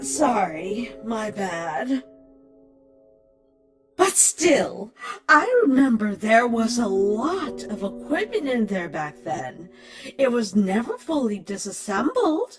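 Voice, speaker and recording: A put-on character voice that sounds female speaks at a very slow pace, with faint music in the background. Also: fairly high pitch for a woman. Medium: fan dub. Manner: measured, knowledgeable.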